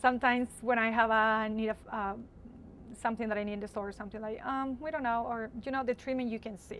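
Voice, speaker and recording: A woman with a Spanish accent, fairly high pitch, very fast pace and fairly even intonation. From Latin America. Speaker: university student. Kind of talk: interview.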